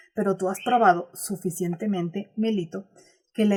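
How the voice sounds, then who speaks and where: At a moderate pace, a woman speaks in a somewhat breathy voice with medium pitch and ordinary pitch variation. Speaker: audiobook narrator. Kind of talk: audiobook reading of a classic text.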